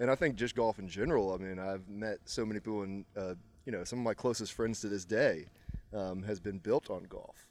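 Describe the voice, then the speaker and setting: At a fairly quick pace, a man speaks in a normal speaking voice at a fairly low pitch with ordinary pitch variation. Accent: American. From Virginia, Charlottesville. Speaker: amateur golfer. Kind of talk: casual chat. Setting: country club after a golf round.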